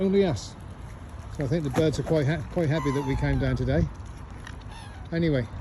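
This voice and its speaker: Amid audible room echo, a man talks at a fairly quick pace broken by long, frequent pauses. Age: 60s. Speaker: vlogger. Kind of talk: casual vlog to camera. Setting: outdoors. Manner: relaxed, hesitant with fillers.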